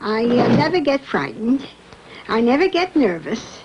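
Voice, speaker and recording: A woman's high voice with very wide pitch swings at a fairly slow pace, against noticeable background noise. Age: old. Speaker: senior choir member. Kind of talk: documentary interview.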